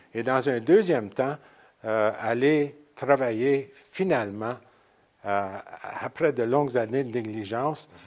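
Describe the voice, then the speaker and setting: A man at a very slow pace with long, frequent pauses, medium pitch and ordinary pitch variation. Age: 70s. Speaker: president of a francophone association. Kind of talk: interview. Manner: loud; halting.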